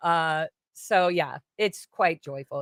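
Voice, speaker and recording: In a slight British accent, a woman with a fairly low pitch sounds animated, her pitch varying in an ordinary way, and the sound is dry and close with no echo. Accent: slight British-sounding lilt. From US, ranch then Florida. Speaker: singer. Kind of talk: casual chat.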